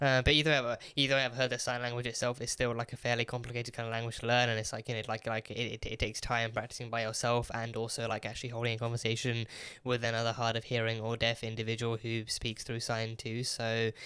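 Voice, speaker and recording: With a British accent, a man talks at a very fast pace and a medium pitch with hardly any pauses. His tone is bright and sharp, the intonation monotone and flat, and the recording very clean with a silent background. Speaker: TV reaction youtuber. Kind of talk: casual review monologue. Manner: halting, many repetitions.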